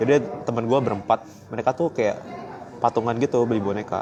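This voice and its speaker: A man speaks in a Surabaya accent at a moderate pace and medium pitch, with ordinary pitch variation. Noticeable background noise can be heard. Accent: sounds Surabaya-like. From Palembang, Indonesia. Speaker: livestreamer, quiz show contestant. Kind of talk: casual chat. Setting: airport.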